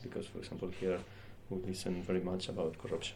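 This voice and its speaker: With a Spanish accent, a man speaks in a very deep, low pitch and a dark, mellow tone, with audible room echo. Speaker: interpreter. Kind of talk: interpreting questions.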